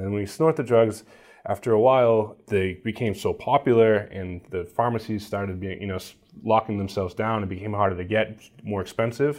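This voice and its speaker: A man with an American accent talks in an unremarkable speaking voice at a fairly low pitch and a fairly quick pace. His pitch varies in an ordinary way, and the background is quiet. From Somerville, Massachusetts (Boston area). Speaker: documentary filmmaker and journalist. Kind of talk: interview.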